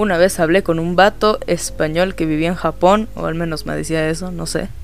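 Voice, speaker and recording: A man speaks at a fairly quick pace in a relaxed tone over noticeable background noise. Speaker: podcaster. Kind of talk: casual monologue. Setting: home recording late at night. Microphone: cheap microphone with pop filter.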